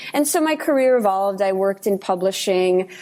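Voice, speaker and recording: At a moderate pace, a woman talks at a medium pitch with a dark, mellow tone. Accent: New York. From Brooklyn, New York (Russian-speaking immigrant from age seven). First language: Russian. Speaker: nonprofit reforestation communicator. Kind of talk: podcast interview.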